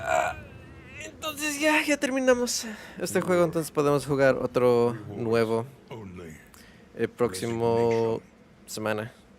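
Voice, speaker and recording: A man speaks at a moderate pace with long, frequent pauses. Background noise is noticeable. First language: Spanish. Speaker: video game streamer. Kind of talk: live gameplay stream chat.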